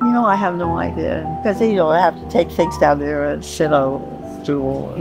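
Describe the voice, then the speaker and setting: A woman speaks at a moderate pace over clear background music, the sound dry with no echo. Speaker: amateur painter. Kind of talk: interview answer. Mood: warm, reminiscing. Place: home room.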